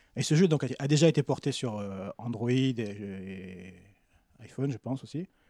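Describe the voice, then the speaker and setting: A man's medium-pitched voice with lively intonation, a fairly slow pace and long, frequent pauses. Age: 40s. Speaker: French teacher and translator. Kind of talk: casual chat.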